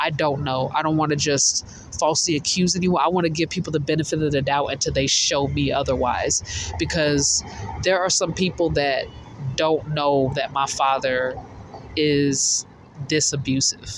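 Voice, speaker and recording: At a moderate pace and fairly high pitch, a man speaks with very even loudness amid noticeable background noise. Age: 20s. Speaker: vlogger sharing personal testimony. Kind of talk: personal testimony monologue. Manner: halting, repeats words.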